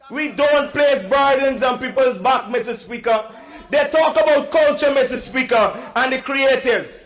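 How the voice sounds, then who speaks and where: Noticeable background noise sits behind a man with an extremely high pitch. He keeps a moderate pace and fairly even intonation. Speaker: member of parliament. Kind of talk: parliamentary speech. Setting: parliament chamber.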